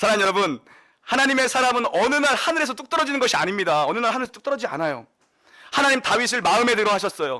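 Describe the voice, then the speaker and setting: Very fast and lively, a man talks in a raised, projected voice at an extremely high pitch, with big swings in loudness. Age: young. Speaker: pastor. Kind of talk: sermon.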